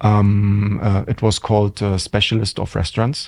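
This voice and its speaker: With a German accent, a man speaks at a fairly low pitch. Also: very clean recording, silent background. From Germany. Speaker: hotel general manager. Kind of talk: interview. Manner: hesitant, many fillers.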